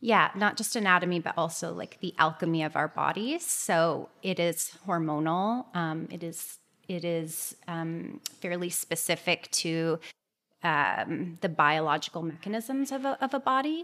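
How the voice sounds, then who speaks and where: Over a silent background in a very clean recording, a woman with a Canadian accent talks at a fairly slow pace in a fairly low pitch, her bright, sharp tone carrying lively intonation. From Toronto area, Canada. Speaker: clinical nutritionist. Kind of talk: interview.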